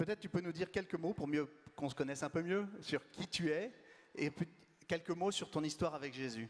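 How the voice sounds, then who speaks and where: Loud and at a high pitch, a man talks at a fairly quick pace. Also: ordinary pitch variation. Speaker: community leader hosting event. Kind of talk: event introduction.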